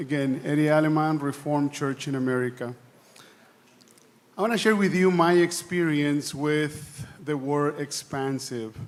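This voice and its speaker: Speaking with a non-native accent, a man keeps a moderate pace and a fairly high pitch with ordinary pitch variation. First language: not English. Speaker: church delegate. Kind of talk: assembly floor speech. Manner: halting, repeats words.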